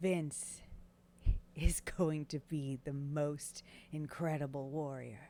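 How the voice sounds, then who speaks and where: In a put-on character voice, the gravelly speech moves at a very slow pace with long, frequent pauses. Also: woman, very deep, low pitch for a woman. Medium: actual play.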